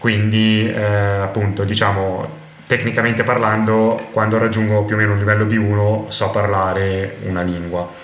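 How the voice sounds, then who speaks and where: Over noticeable background noise and audible room echo, a man speaks in a fairly low, monotone, flat voice. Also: moderate pace. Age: 20s. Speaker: polyglot and language teacher. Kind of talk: interview conversation.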